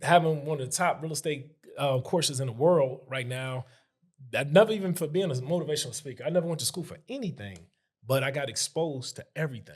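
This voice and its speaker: The voice is animated and somewhat breathy, with an American accent and ordinary pitch variation. It races along at a very fast pace, with big swings in loudness. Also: man, fairly high pitch for a man. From Chicago. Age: 40s. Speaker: real estate investor. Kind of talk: casual chat.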